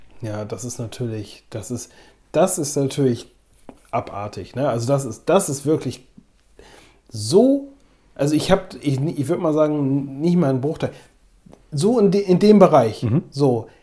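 Somewhat breathy and dark, mellow in tone, a man with a fairly high pitch speaks at a fairly slow pace with lively intonation and long, frequent pauses. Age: 20s. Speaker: photography podcast co-host. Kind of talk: casual chat.

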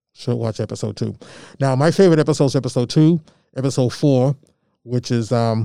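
The voice has an American accent. It moves at a fairly quick pace. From Malden, Massachusetts, with Georgia summers. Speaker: community media arts director and youth mentor. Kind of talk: interview.

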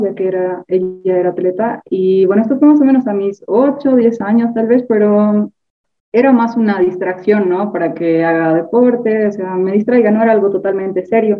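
Music plays behind a woman speaking at a medium pitch. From Bolivia. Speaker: university student and sprinter. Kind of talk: casual interview.

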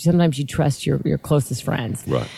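A woman with an American accent speaks in a dark, mellow tone with lively intonation. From Southern California (Lancaster, desert). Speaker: network marketing entrepreneur. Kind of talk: casual chat.

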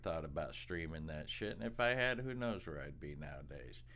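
There is audible room echo as a man speaks in a bright, sharp tone with lively intonation. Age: 50s. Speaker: podcast co-host, storytelling father. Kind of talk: casual chat. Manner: laughing often.

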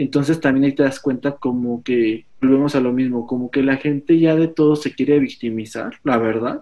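With a Mexican accent, a man talks at a medium pitch and a moderate pace. His intonation stays fairly even, and he hardly pauses. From Mexico. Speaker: fashion stylist. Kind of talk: casual chat.

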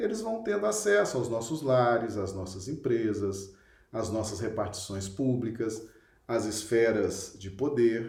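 Very slow delivery with very wide pitch swings and audible room echo. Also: man. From Minas Gerais, Brazil (Belo Horizonte). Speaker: spiritist study leader. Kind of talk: online lecture / religious study.

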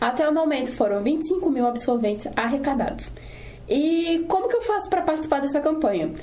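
A woman talks at a fairly quick pace in a high voice, her pitch swinging very widely. Noticeable background noise and audible room echo fill the recording. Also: very even loudness. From Brazil, Espírito Santo (Serra). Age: 20s. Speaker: student podcast host. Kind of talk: casual chat with scripted reading.

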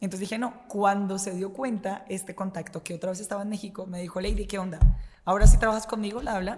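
Talking at a very fast pace, a woman sounds somewhat breathy, with a medium pitch and fairly even intonation. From Colombia, Bogotá. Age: 20s. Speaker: radio host. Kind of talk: casual chat.

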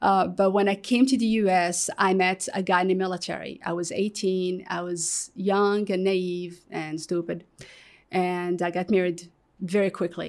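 On a very clean recording with a silent background, a woman speaks at medium pitch with an Arabic accent. Her intonation is monotone and flat. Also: moderate pace. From Morocco. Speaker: guest sharing life story. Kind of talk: testimony. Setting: studio. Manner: halting, many repetitions.

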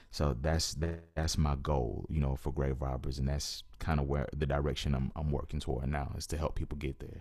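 Very deep and low, a man's voice carries vocal fry and a monotone, flat intonation at a moderate pace. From US South, Georgia near Atlanta. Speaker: poet and rapper. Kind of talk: interview conversation.

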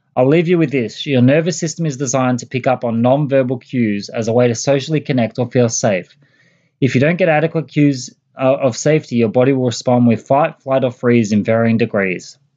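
With ordinary pitch variation, the voice comes through in an Australian accent. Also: man, medium pitch for a man. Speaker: podcast host. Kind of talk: casual chat; news commentary.

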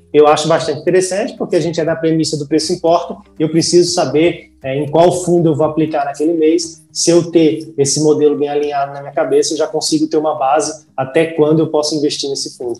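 Fairly high in pitch, a man talks very fast with hardly any pauses. His tone is dark and mellow, his intonation monotone and flat. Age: 20s. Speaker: finance content creator. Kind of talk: casual interview.

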